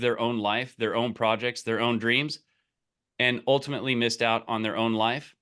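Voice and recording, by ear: A man at medium pitch with a fairly bright tone and a fairly quick pace, on a very clean recording with a silent background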